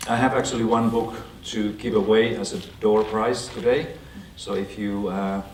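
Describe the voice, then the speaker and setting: A man with a Finnish accent speaks in a fairly low pitch with fairly even intonation. Audible room echo and noticeable background noise come through. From Finland. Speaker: education expert and author. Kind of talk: lecture. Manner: halting.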